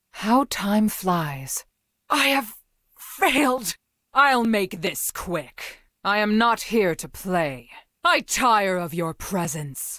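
A woman's put-on character voice at medium pitch, very slow, with very wide pitch swings, on a very clean recording with a silent background. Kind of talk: video game character voice lines. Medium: video game. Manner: stern, commanding.

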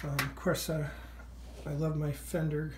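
With light background noise behind her, a woman speaks at a moderate pace in a very deep, low, somewhat breathy voice with monotone, flat intonation. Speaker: vlogger. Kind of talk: casual vlog chat. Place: home room. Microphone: phone near.

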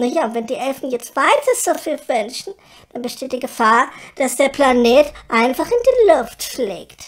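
A female-sounding voice uses a put-on character voice at a high pitch and a moderate pace. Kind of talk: comic radio play.

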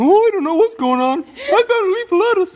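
Extremely high pitch in a put-on character voice. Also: fairly quick pace. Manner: cute, playful.

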